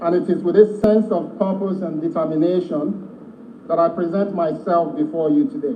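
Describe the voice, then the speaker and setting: The recording has noticeable background noise and audible room echo. A man with a high pitch speaks at a moderate pace. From Nigeria, Lagos and Ogun State. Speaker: ministerial nominee. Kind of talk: formal prepared statement at a hearing. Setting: legislative chamber. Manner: formal.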